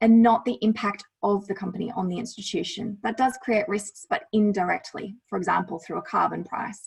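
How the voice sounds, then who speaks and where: A woman speaks at a fairly quick pace with an Australian accent. Her pitch sits fairly high, with ordinary variation. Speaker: lawyer presenting on climate risk. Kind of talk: presentation with slides.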